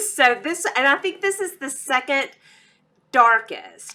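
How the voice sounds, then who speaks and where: Bright and sharp in tone, a woman with a Texas accent speaks at a very slow pace with very wide pitch swings. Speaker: beauty YouTuber. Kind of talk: product review vlog. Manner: animated.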